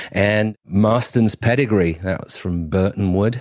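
Very deep and low in pitch, a man talks with an English accent. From northern England, Cheshire. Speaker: brewery owner and brewer. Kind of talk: casual interview. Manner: halting, repeats words.

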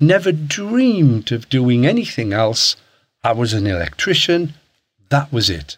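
A man with a northeast English accent, fairly high pitch, very wide pitch swings, moderate pace and long, frequent pauses. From Hartlepool, northeast England. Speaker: property investor. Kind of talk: casual interview.

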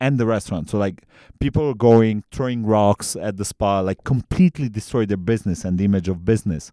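In a Romanian accent, a man with a fairly low pitch and a dark, mellow tone speaks at a fairly quick pace with ordinary pitch variation, in a dry, close sound with no echo on a very clean recording with a silent background. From Transylvania, Romania. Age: 20s. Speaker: bartender. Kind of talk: casual chat.

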